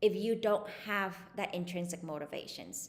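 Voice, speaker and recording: Speaking with a Vietnamese accent, a woman uses a medium pitch and ordinary pitch variation. Her pace is fairly slow. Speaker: psychologist. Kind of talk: interview. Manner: hesitant, many fillers.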